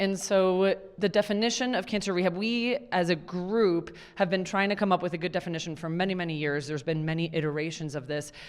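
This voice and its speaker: Talking very fast, a woman with a fairly low voice and ordinary pitch variation is heard on a very clean recording with a silent background. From Puerto Rico. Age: 30s. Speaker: physician. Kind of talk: lecture. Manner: animated.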